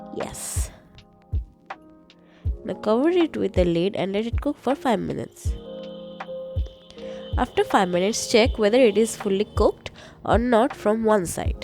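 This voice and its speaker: Music plays in the background as a woman speaks at a moderate pace, with long, frequent pauses. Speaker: home cook. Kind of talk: cooking tutorial voice-over.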